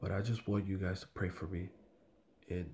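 A man is speaking. His voice is somewhat breathy. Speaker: religious video commentator. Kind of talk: religious commentary monologue. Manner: halting, many filler words.

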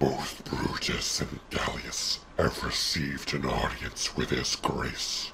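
A man puts on a raspy character voice and talks at a very slow pace. Light background noise sits behind him. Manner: earnest, slightly indignant.

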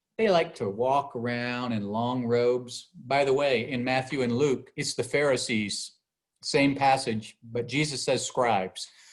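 An unremarkable speaking voice from a man at a medium pitch, fairly slow in pace, with fairly even intonation. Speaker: bishop teaching Bible study. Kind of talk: Bible study lecture.

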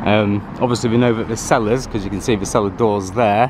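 Fairly quick and in a monotone, flat intonation, the voice comes through dry with no echo over noticeable background noise. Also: man. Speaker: local history vlogger. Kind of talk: casual vlog commentary. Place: street. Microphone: phone near.

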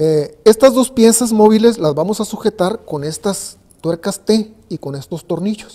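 Over a quiet background, a man speaks fairly slowly with a high pitch. His tone is dark and mellow, and his pitch varies in an ordinary way. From Mexico, Ensenada, Baja California. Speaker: carpenter. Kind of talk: tutorial. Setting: workshop. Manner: halting. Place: workshop.

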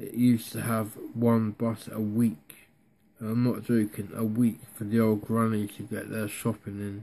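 With a Devon accent, a man talks at a fairly slow pace in a dark, mellow tone and a flat, monotone delivery. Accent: Devon (West Country English). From North Devon, England. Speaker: vlogger. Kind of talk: casual talk to camera. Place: home room. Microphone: phone near.

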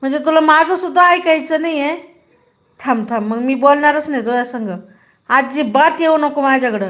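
Her tone animated, a woman speaks at a high pitch with ordinary pitch variation. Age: 30s. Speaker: live streamer. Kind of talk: live stream chat.

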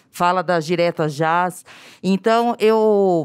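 With a quiet background, a woman talks in an unremarkable speaking voice, fairly low in pitch, with ordinary pitch variation. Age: 40s. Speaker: teacher, audience member; audience member. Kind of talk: audience question. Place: hall. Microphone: handheld.

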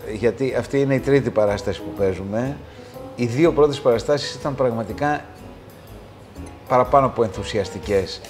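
Clear music plays in the background while a man speaks at a moderate pace with long, frequent pauses. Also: ordinary pitch variation. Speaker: actor being interviewed. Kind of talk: interview answer. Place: studio. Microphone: lapel.

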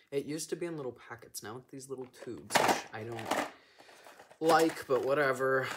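A man's voice against loud background noise. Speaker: vlogger. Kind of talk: casual vlog chat. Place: home room. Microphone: phone near.

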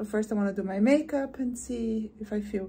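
Fairly slow and somewhat breathy, the speech carries a dark, mellow tone and ordinary pitch variation. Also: woman. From Brazil. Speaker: lifestyle vlogger. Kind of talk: casual vlog talk to camera. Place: home room. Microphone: phone near.

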